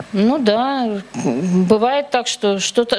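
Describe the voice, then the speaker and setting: Fairly high female speech with ordinary pitch variation, noticeable background noise behind it. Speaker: churchgoer. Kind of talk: testimony. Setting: church.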